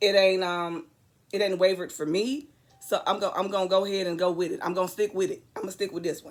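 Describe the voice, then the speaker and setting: A woman's raspy, put-on character voice at medium pitch, very fast, with ordinary pitch variation and music in the background. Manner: earnest, resolute.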